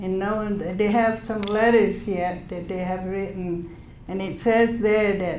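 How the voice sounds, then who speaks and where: With fairly even intonation, a woman talks at a very slow pace amid noticeable background noise and audible room echo. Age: 70s. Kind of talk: speech to an audience. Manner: halting.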